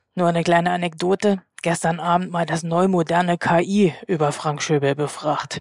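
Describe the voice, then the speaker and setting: A woman's unremarkable speaking voice, fairly low in pitch, at a moderate pace with hardly any pauses and fairly even intonation, in dry, close sound with no echo. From East Germany. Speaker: magazine editor-in-chief, co-host. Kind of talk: interview.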